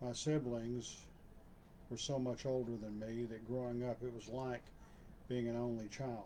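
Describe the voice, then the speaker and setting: At a fairly slow pace, with long, frequent pauses, a voice with a Texan accent and a dark, mellow tone speaks in flat, monotone intonation amid audible room echo. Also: man, medium pitch for a man. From Texas (Waco). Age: 60s. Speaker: channel owner, personal storyteller. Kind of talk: personal reminiscence monologue. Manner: halting, with fillers.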